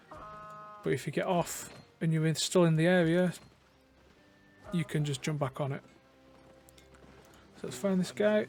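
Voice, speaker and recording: Over music in the background, a man with a high voice speaks at a fairly slow pace with long, frequent pauses and ordinary pitch variation. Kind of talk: game tutorial walkthrough. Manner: casual, hesitant.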